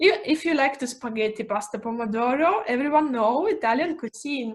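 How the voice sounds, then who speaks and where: This woman has a high pitch and a non-native accent. Her intonation is lively. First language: not English. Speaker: real estate agent. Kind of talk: live presentation. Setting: video call live stream. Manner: halting, searching for English words.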